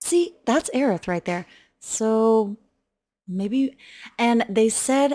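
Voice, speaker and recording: Recorded very cleanly against a silent background with a dry, close sound and no echo, a woman speaks very slowly in a dark, mellow tone with ordinary pitch variation. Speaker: gaming content creator. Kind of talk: reaction commentary. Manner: soft-spoken.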